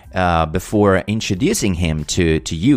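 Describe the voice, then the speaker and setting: In an Italian accent, a man speaks with a very deep, low pitch and ordinary pitch variation. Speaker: podcast host. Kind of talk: casual interview. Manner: hesitant, many fillers.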